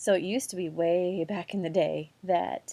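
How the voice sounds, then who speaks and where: Against a quiet background, a woman speaks in a fairly low voice with a dark, mellow tone. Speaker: teacher. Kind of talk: recorded lesson. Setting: quiet room at home. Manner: quieter than normal.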